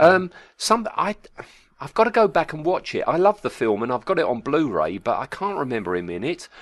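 A man speaks fairly quickly against a quiet background. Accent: British. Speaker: podcast co-host. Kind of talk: casual chat. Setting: remote audio call.

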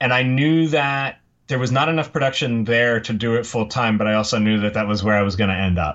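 A man talks at a fairly quick pace in a medium pitch, with ordinary pitch variation and very even loudness. It is an ordinary speaking voice. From Pennsylvania. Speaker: commercial production worker. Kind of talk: casual interview.

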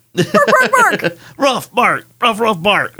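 Pitched fairly high, the voice is a put-on character act. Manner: barking, poor impression.

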